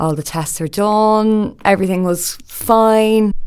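A woman talks with a Dublin accent and ordinary pitch variation. The recording is very clean, with a silent background. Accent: Dublin Irish. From Ireland, Dublin. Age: 20s. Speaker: podcast host. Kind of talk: personal monologue.

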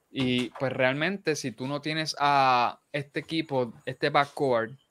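A man's fairly bright voice at medium pitch, with ordinary pitch variation

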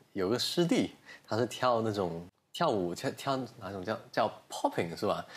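In a normal speaking voice, a man at medium pitch talks at a moderate pace with lively intonation. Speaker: podcast host. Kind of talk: casual interview chat. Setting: studio recorded on video.

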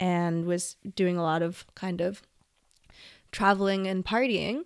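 In a Canadian accent, a woman with an unremarkable speaking voice talks at a fairly slow pace. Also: very clean recording, silent background. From western Canada. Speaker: podcast host. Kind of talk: personal monologue.

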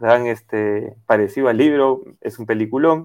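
A man speaks at a fairly slow pace. His voice is medium-pitched, with ordinary pitch variation. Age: 30s. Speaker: professional footballer. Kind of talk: radio interview. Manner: hesitant with fillers.

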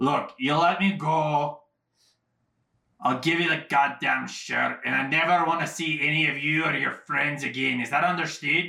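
This put-on character voice moves along at a moderate pace. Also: man, fairly high pitch for a man. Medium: actual play. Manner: furious, clipped, cursing.

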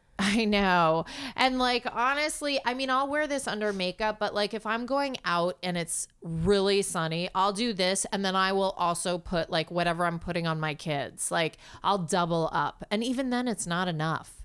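In a plain, everyday voice, a woman with an American accent speaks at a medium pitch and moderate pace, her intonation lively and hardly any pauses breaking her speech, on a very clean recording with a silent background. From US Northeast, New York City. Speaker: actor. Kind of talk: casual chat. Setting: living room at home.

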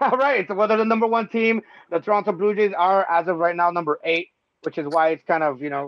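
The speaker is a man talking at a very fast pace. His pitch varies in an ordinary way. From Tijuana, Mexico. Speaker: comedian and podcast host. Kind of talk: casual comedic sports chat. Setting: live podcast. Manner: animated, joking, profane.

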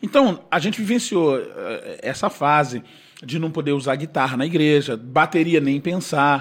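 This man has a normal speaking voice at a fairly high pitch. He talks at a moderate pace with ordinary pitch variation. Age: 50s. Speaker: gospel singer. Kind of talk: casual chat.

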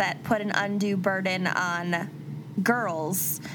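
Over noticeable background noise and audible room echo, a woman speaks very slowly with lively intonation. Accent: Upper Midwest. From Minnesota. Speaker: podcast co-host. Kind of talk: casual chat with case narration.

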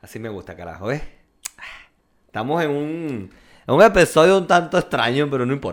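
A man with a Venezuelan accent, fairly high-pitched, at a fairly quick pace with very wide pitch swings, big swings in loudness and long, frequent pauses, on a very clean recording with a silent background. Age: 20s. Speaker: podcast co-host. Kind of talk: casual chat.

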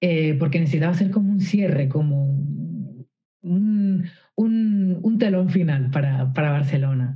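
A woman speaks with a very deep, low pitch and a somewhat breathy sound. Her loudness stays very even, and her pitch varies in an ordinary way. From Canary Islands, Spain. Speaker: singer-songwriter. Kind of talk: interview conversation. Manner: hesitant, with many fillers and repetitions.

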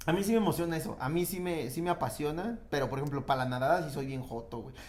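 Audible room echo surrounds a man talking at a fairly quick pace. His pitch is fairly high, with ordinary variation. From rural Mexico. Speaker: comedian. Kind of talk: casual chat.

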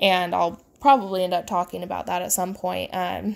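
On a very clean recording with a silent background, a woman with a Midwestern American accent speaks at a moderate pace in a monotone, flat intonation. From US Midwest. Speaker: horse trainer and podcast host. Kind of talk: casual solo podcast talk. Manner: informal, many fillers and laughs.

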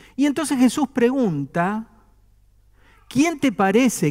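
A man's very slow delivery with very wide pitch swings. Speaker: pastor. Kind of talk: sermon. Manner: conversational, with humor.

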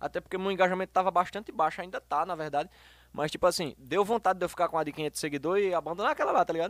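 Very fast speech comes from a high-pitched man with ordinary pitch variation. The recording is very clean, dry and close, with a silent background and no echo. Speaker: singer and hairdresser. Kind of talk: casual chat.

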